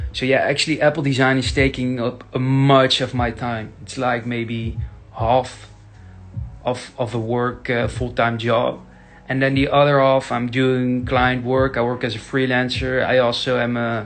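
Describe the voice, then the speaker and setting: With a Dutch accent, a man speaks at a fairly slow pace and medium pitch in a monotone, flat intonation while music plays in the background. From Netherlands. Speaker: tech YouTuber. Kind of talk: casual Q&A. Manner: halting, many fillers.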